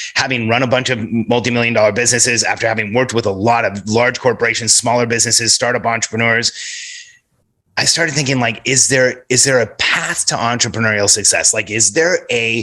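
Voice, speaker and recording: A man talks fairly quickly at a medium pitch, his tone bright and sharp. His loudness stays very even in a very clean recording with a silent background. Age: 40s. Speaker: entrepreneur and business coach. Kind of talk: podcast interview. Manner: animated.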